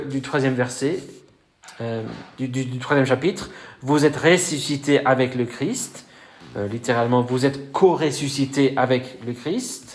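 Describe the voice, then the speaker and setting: With audible room echo, a man talks at a fairly slow pace and a fairly high pitch, using fairly even intonation and long, frequent pauses. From Wales. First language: Welsh (speaking French). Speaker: pastor. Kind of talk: sermon. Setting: church. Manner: hesitant, many fillers.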